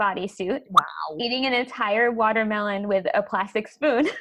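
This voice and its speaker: This woman has a medium pitch and ordinary pitch variation. It is an ordinary speaking voice. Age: 30s. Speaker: podcast host. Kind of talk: casual interview chat.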